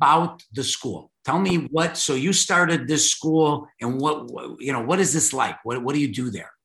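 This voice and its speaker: With a Chicago accent, a man speaks at a moderate pace in a fairly high pitch, with a bright, sharp tone and ordinary pitch variation. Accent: Chicago American. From Chicago, US Midwest. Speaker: podcast host. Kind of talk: casual interview chat. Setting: video call.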